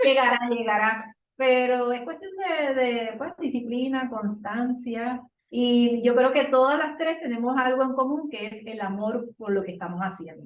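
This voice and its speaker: This woman's voice is high-pitched, with ordinary pitch variation and big swings in loudness, moving at a fairly slow pace with hardly any pauses. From Puerto Rico. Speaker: podcaster. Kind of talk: casual chat.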